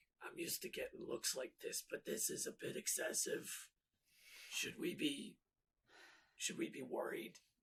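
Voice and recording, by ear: Putting on a raspy character voice at an extremely high pitch, a man speaks at a moderate pace with long, frequent pauses.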